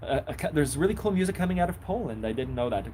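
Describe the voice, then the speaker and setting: A man is speaking. His voice is somewhat breathy. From Israel. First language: Hebrew. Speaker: accordion teacher and musician. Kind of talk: live stream chat. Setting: outdoors on a bench in the rain. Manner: casual, hesitant with many fillers.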